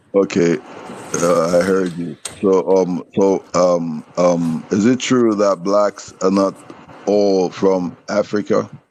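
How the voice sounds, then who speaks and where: Speaking at a very slow pace with a Nigerian accent, a man with a very deep, low voice keeps a fairly even intonation over noticeable background noise. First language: Nigerian language. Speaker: caller in a debate stream. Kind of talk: heated debate. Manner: halting.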